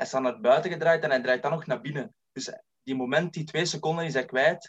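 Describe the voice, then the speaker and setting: A plain, everyday voice speaks at a moderate pace. The sound is dry and close, with no echo. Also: man. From Belgium, East Flanders (Lebbeke). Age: 20s. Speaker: football scout and author. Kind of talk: casual chat.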